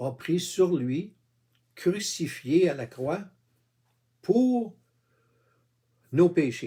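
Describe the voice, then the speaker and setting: At a very slow pace, a man with a dark, mellow tone speaks at a high pitch with very wide pitch swings. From Quebec. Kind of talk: informal religious monologue. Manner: halting, many fillers; casual, addresses viewer with tu.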